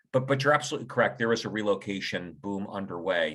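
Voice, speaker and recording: In an American accent, a man talks at a very fast pace with a bright, sharp tone and vocal fry. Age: 60s. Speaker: financial advisor. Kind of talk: webinar panel discussion.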